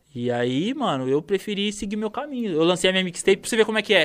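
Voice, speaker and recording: A man rattles along at a very fast pace, his intonation lively. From interior of São Paulo state, Brazil (Campinas). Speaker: rapper. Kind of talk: casual chat. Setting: studio.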